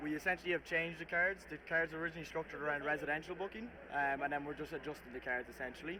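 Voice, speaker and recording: A man at a fairly high pitch, very fast and with hardly any pauses, bright and sharp in tone, his intonation fairly even. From Ireland. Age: 20s. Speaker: sales rep at trade show booth. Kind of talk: casual interview. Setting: trade show floor.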